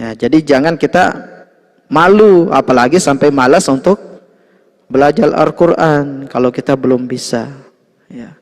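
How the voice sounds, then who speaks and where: A plain, everyday voice belongs to a man with a fairly high pitch and ordinary pitch variation. He goes at a fairly slow pace, with big swings in loudness. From Lombok, Indonesia. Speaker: Islamic religious teacher. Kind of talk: religious lecture. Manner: conversational, frequent 'ya' fillers.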